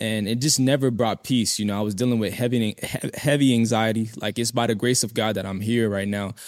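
A man with a plain, everyday voice talks in a medium pitch with fairly even intonation and hardly any pauses. The recording is very clean, with a silent background. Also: fairly quick pace. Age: 20s. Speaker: lay evangelist. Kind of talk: testimony.

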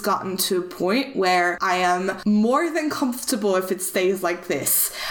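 A woman's lively intonation at a fairly slow pace over noticeable background noise. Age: 20s. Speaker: podcast host. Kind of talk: casual chat.

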